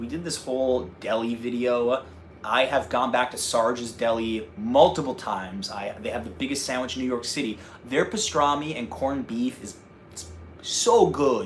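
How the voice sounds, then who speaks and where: Speaking at a moderate pace with a slight North Jersey accent, a man sounds animated, with big swings in loudness. Noticeable background noise runs underneath. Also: medium pitch for a man, ordinary pitch variation. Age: 30s. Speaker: travel vlogger. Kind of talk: casual chat. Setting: livestream.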